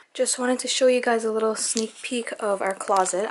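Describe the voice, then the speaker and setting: A woman is talking, and noticeable background noise can be heard. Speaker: vlogger. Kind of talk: casual vlog narration. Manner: casual, filler-heavy.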